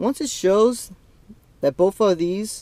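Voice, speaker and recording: A man's voice, dry and with no echo. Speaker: car coding demonstrator. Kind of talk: tutorial. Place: car. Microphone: phone near.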